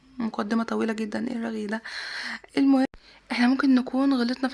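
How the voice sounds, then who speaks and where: A woman's high voice with an Egyptian accent, at a fairly quick pace. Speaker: vlogger. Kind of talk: casual vlog.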